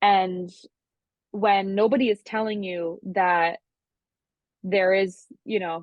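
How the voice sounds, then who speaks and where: Speaking at a fairly slow pace with a Long Island accent, a woman keeps a medium pitch and ordinary pitch variation. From Long Island, New York. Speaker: music producer and singer-songwriter. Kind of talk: interview.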